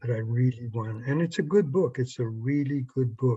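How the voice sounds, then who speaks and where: A man speaks at a moderate pace with a dark, mellow tone, a somewhat breathy quality and ordinary pitch variation. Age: 70s. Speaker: psychologist and sex therapist. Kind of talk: interview. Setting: video call.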